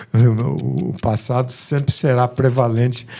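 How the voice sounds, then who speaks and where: Somewhat breathy and dark, mellow in tone, a man speaks at a medium pitch. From Rio de Janeiro, Brazil. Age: 70s. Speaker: musician. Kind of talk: interview.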